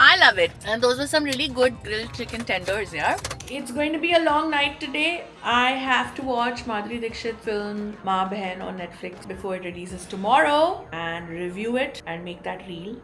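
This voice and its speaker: A woman's voice with very wide pitch swings, big swings in loudness and hardly any pauses, over music in the background. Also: moderate pace. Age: 40s. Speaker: radio jockey. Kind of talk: casual vlog talk to camera.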